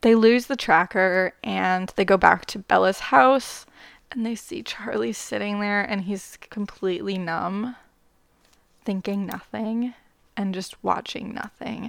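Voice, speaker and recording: In a Canadian accent, a woman speaks with an unremarkable speaking voice at a medium pitch. Her pace is fairly slow, with ordinary pitch variation and big swings in loudness. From Canada. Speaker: podcast host. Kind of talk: solo book review monologue.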